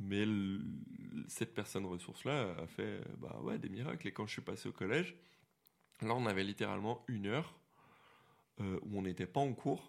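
Using lively intonation and vocal fry, a man with a fairly low pitch speaks at a moderate pace with long, frequent pauses. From Quebec, Montreal. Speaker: visually impaired guest. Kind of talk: casual chat.

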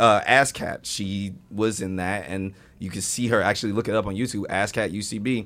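In an American accent, a man speaks at a moderate pace with a fairly low pitch and fairly even intonation, an ordinary speaking voice on a very clean recording with a silent background. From US Midwest (Indiana). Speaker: actor and improv comedian. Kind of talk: casual chat.

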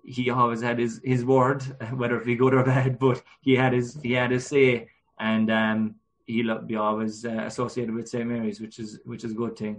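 A man with a Cork accent talks at medium pitch. His intonation is monotone and flat. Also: moderate pace. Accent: Cork Irish. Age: 20s. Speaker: GAA club chairperson and player. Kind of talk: casual interview. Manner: hesitant, many fillers.

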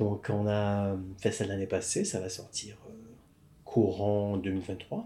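A man's very slow, fairly low, dark and mellow voice, monotone and flat, broken by long, frequent pauses. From Quebec, Montreal. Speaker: film script supervisor. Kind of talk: casual interview. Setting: coworking space.

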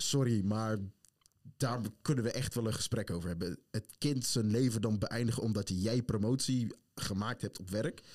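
A plain, everyday voice from a man, medium in pitch with ordinary variation and a moderate pace. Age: 20s. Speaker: podcast host. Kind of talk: casual chat. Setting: studio.

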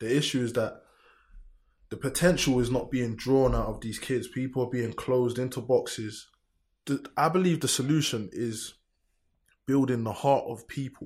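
In a London accent, the speaker talks at a moderate pace with fairly even intonation, somewhat breathy and pausing long and often, on a very clean recording with a silent background. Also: man, medium pitch for a man. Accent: London multicultural English. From south London, Lewisham. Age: 20s. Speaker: grime MC and producer. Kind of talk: casual chat.

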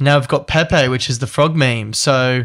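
A man talks in an unremarkable speaking voice at medium pitch and a fairly slow pace. The recording is very clean, with a silent background. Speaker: podcast host. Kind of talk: casual chat.

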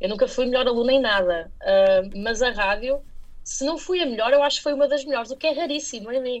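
Pitched high, a woman talks at a fairly quick pace with lively intonation. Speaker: radio journalist. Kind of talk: interview.

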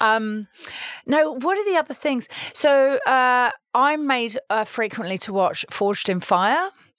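A woman's high voice in a southern English accent, fairly slow, with very wide pitch swings. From London, England. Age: 40s. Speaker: media investment executive. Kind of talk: interview. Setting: studio.

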